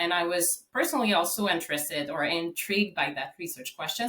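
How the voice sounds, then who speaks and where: A Quebec accent at a moderate pace. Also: woman. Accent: Québécois French-Canadian. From Quebec, Canada. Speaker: psychology professor and researcher. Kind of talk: podcast interview.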